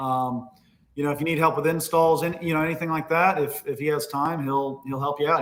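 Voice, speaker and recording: Here a man talks very fast with an American accent. His tone is energetic and his pitch fairly high. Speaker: Christmas lighting business owner and webinar host. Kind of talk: live webinar interview. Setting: livestream. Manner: fast, energetic.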